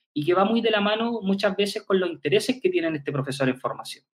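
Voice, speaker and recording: A man's high voice rattles along very fast, his intonation lively. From Chile, Concepción. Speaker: physical education professor and researcher. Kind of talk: interview conversation. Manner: halting, with frequent repetitions.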